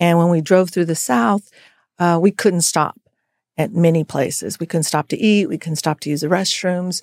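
A woman with an American accent uses an unremarkable speaking voice at a fairly low pitch, with fairly even intonation. The recording is very clean and dry, close with no echo, over a silent background. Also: moderate pace. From US, military family, Colorado and Texas. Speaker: lawyer, legal nonprofit director. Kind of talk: interview conversation.

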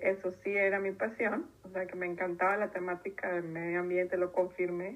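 At a moderate pace and a medium pitch, a woman talks in a normal speaking voice. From Mexico, Tijuana. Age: 30s. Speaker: environmental consultant. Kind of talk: interview.

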